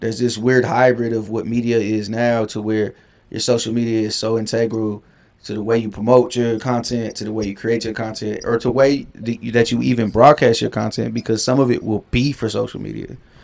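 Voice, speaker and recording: The speech moves at a fairly quick pace in a monotone, flat intonation, on a very clean recording with a silent background. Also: man, medium pitch for a man. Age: 30s. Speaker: music writer. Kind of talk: casual chat. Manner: long-winded.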